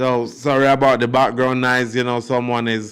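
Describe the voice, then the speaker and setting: A man speaks at a medium pitch and a fairly slow pace in a monotone, flat delivery, captured in a very clean recording with a silent background. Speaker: YouTube commentator. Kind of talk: casual commentary monologue. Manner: mumbling; hesitant, many fillers.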